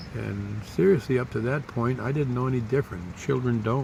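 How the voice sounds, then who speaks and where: A man's fairly quick, fairly even-toned speech amid audible room echo. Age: 60s. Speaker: vlogger. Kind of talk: personal storytelling.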